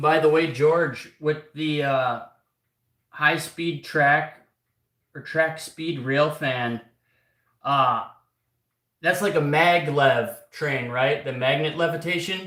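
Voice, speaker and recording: A loud voice with a bright, sharp tone comes at a very slow pace, with fairly even intonation and long, frequent pauses. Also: man, fairly high pitch for a man. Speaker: clock repairer. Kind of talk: live stream workshop chat. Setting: workshop. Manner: halting.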